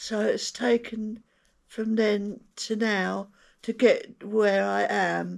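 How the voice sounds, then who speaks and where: On a very clean recording against a silent background, a woman talks at a very slow pace. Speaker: stroke survivor and motorhome vlogger. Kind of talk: casual chat. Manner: halting, with many hesitations and repeats; searches for words, sometimes wrong words.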